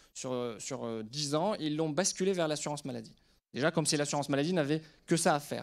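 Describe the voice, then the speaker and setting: A man with a fairly high pitch and an unremarkable speaking voice talks at a fairly quick pace with ordinary pitch variation, on a very clean recording with a silent background. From Lebanon. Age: 30s. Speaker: surgeon and startup CEO. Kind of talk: conference talk to an audience.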